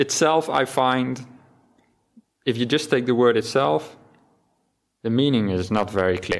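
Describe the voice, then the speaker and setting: A man speaks at a medium pitch. His intonation is lively and his pace moderate. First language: Dutch. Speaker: Buddhist monk giving a dharma talk. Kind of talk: dharma talk. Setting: temple hall with audience, livestreamed.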